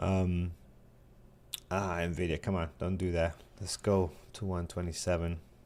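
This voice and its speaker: A man with a New York accent, very deep and low in pitch, monotone and flat, at a fairly slow pace with long, frequent pauses. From New York City. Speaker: day trading show host. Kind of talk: live trading show chat.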